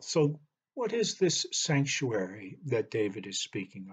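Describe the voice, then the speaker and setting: His voice somewhat breathy, the man talks at a fairly slow pace. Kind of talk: sermon. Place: home room. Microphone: webcam.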